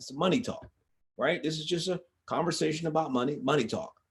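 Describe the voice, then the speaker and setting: Very fast in pace, this man's voice sits at a fairly high pitch. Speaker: financial education live streamer. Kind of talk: casual live talk. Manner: repetitive, with frequent restarts.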